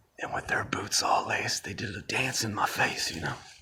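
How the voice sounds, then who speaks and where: In a put-on character voice, a man whispers raspily at a fairly quick pace. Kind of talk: rhymed tall tale. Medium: solo performance. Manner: casual, rhythmic, conversational.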